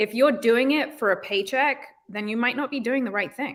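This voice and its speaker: Recorded very cleanly against a silent background, a woman speaks with a British accent. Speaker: real estate agent. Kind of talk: interview. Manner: casual, many fillers.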